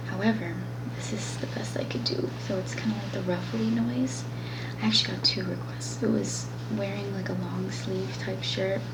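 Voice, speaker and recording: A woman talks at a moderate speed while noticeable background noise carries on. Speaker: ASMR creator. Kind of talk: ASMR talk to camera. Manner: soft-spoken, casual, chatty.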